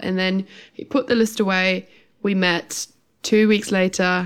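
A woman with a German accent speaks at a fairly slow pace and medium pitch, her intonation monotone and flat, on a very clean recording with a silent background. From Germany. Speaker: podcast co-host, hypnotherapist. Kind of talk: casual chat.

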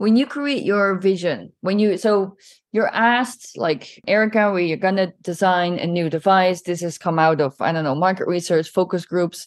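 A woman with an unremarkable speaking voice talks at a moderate pace with hardly any pauses. Her pitch is medium and the background is quiet. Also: ordinary pitch variation. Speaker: podcast host. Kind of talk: interview. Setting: podcasting from Milan.

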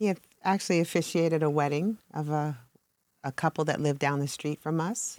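At a fairly quick pace, a woman speaks with a very deep, low pitch on a very clean recording with a silent background and a dry, close sound with no echo. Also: ordinary pitch variation. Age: 60s. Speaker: ministry leader. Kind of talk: casual chat.

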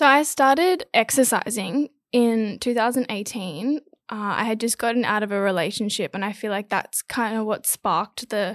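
A woman speaks at a moderate pace with fairly high pitch and ordinary pitch variation, in a very clean recording with a silent background. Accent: Australian. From Australia, Gold Coast. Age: 20s. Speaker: model and influencer. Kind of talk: casual chat.

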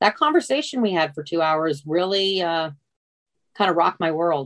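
A woman talks with an American accent in a fairly low voice. She leaves long, frequent pauses. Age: 60s. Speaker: retiree, mother of the host. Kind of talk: casual interview. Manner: halting.

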